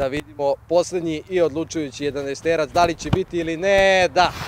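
A man talks at a fairly quick pace with fairly even intonation, the sound dry with no echo and noticeable background noise behind him. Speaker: host of a football challenge video. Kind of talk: casual host chat and commentary. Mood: playful, joking. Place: open country. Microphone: handheld.

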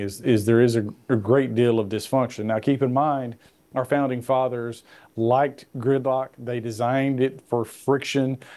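With a Tennessee accent, a man speaks at medium pitch and a moderate pace. His tone is dark and mellow, his intonation flat and monotone. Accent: Southern US, Tennessee. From Middle Tennessee. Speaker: congressman; guest. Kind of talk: interview.

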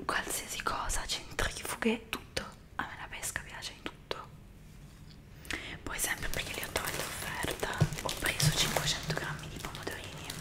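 A woman whispers at a moderate pace in a relaxed tone, her loudness swinging widely, with long, frequent pauses. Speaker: ASMR content creator; ASMR creator. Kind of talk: whispered ASMR talk to camera. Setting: close microphone, home recording. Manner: whispered, soft, relaxed. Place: home room. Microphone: studio mic.

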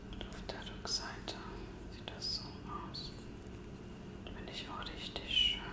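Soft-spoken whispering comes at a very slow pace. The room echo is audible, and the background noise is loud. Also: woman. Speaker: ASMR creator. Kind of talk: soft-spoken ASMR role-play chat. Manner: soft intimate German whisper. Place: home room. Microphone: phone near.

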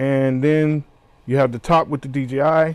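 At a fairly slow pace, a man is talking. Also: dry sound with no echo. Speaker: product reviewer. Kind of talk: unboxing tutorial.

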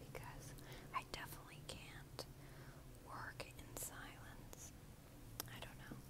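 A woman speaks at a fairly slow pace against loud background noise. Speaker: ASMR creator. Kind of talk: ASMR whisper video. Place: home room. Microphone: earbuds.

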